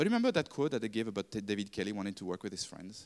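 This man speaks with a French accent and lively intonation. The background is quiet. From France. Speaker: design consultant; speaker. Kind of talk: talk to live audience. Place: classroom. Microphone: handheld.

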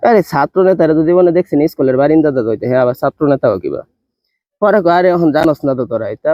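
A man with a plain, everyday voice and ordinary pitch variation. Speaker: vlogger. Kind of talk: casual storytelling.

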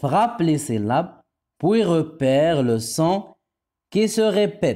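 A man speaks at a very slow pace in a dark, mellow tone, with very wide pitch swings and very even loudness. The recording is very clean, with a silent background. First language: Moroccan Arabic (speaking French). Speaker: primary school French teacher. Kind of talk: tutorial. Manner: slow, repetitive enunciation.

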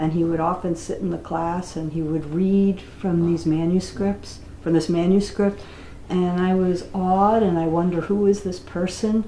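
A woman's fairly low, monotone voice with flat intonation and an American accent, at a moderate pace, with audible room echo and light background noise. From United States. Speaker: interviewee. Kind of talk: oral-history interview. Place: home room.

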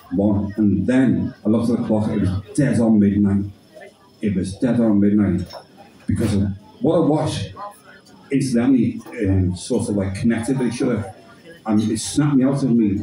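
Speaking at a moderate pace with long, frequent pauses, a man with a fairly low pitch and ordinary pitch variation is heard amid light background noise and audible room echo. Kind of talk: poetry performance and storytelling. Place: bar. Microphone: camera far.

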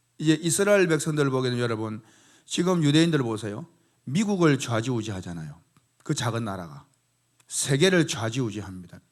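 This man talks at a fairly quick pace in a medium pitch, with very wide pitch swings. He leaves long, frequent pauses, and the recording is very clean with a silent background. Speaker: pastor. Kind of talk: sermon.

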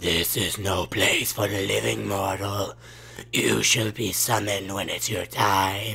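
A raspy man with a fairly low voice performs a put-on character voice over light background noise. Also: fairly slow pace.

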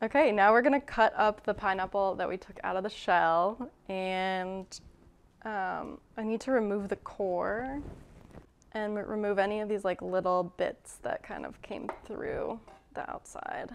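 Fairly slow speech from a woman, ordinary pitch variation, light background noise. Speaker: home cook host. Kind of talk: casual cooking tutorial. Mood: light, amused. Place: kitchen.

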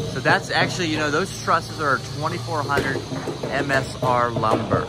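Music can be heard in the background. The speaker goes at a fairly slow pace. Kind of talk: casual walkthrough commentary. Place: open country. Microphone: phone near.

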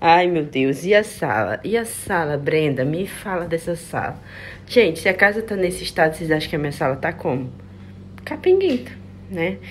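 A woman speaks with a fairly low pitch and vocal fry. Her intonation is lively. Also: moderate pace. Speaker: vlogger, mother. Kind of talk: vlog voice-over narration. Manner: casual, chatty.

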